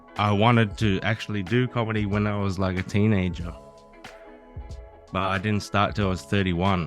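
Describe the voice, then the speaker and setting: Over music in the background, a man with a fairly low pitch and fairly even intonation talks at a moderate pace, leaving long, frequent pauses. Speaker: comedian. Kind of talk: interview answer. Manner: casual, rambling.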